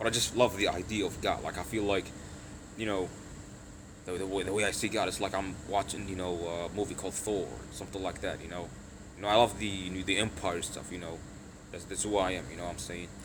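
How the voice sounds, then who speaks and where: A man speaks at a very fast pace in a very deep, low voice with monotone, flat intonation, long and frequent pauses, and audible room echo. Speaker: livestreamer. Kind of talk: casual live stream chat answering viewer questions. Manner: hesitant, many fillers.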